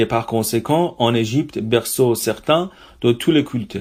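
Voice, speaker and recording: A man with an Iranian accent speaks at a fairly slow pace on a very clean recording with a silent background. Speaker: reader and translator. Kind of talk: literary reading.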